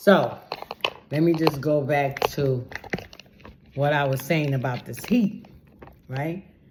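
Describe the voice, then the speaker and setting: A woman's very deep, low voice at a very slow pace, with long, frequent pauses, ordinary pitch variation and noticeable background noise. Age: 60s. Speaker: vlogger. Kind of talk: testimony. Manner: conversational, animated.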